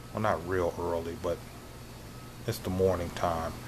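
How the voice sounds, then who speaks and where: A man speaks quietly in a room with audible echo. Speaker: vlogger and online reseller. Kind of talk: casual vlog talk. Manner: talking quietly.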